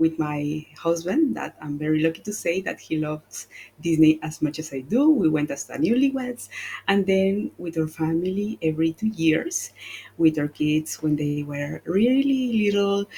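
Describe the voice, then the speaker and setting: A woman speaks with a Spanish accent at a moderate pace, her pitch fairly low and her tone dark and mellow. Her intonation is lively, and her voice is somewhat breathy. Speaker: travel agent. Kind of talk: casual panel discussion.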